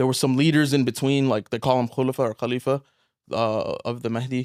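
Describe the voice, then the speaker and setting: With a dry, close sound and no echo, a man speaks at a medium pitch in a flat monotone. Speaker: engineer and author. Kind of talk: casual interview.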